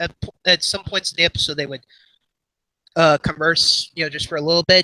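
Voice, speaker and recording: In a dry, close recording with no echo, a man uses a raised, projected voice with a bright, sharp tone. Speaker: animation youtuber. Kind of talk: casual livestream chat. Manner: halting, filler-heavy.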